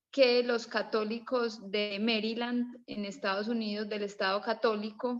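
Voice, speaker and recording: A woman's fairly high, monotone, flat voice at a fairly slow pace, with hardly any pauses. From Colombia. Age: 30s. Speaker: participant in online history class, mother. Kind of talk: casual discussion contribution. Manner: halting, with restarts.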